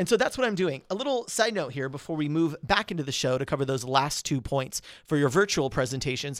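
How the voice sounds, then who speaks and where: On a very clean recording with a silent background, a man talks very fast in an animated tone, his fairly high pitch and lively intonation barely broken by pauses. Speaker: podcast host and public speaking coach. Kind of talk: solo podcast tutorial.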